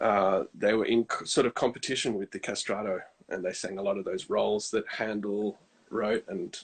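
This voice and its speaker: With an Australian accent, this man talks at a moderate pace. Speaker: countertenor singer. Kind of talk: casual interview.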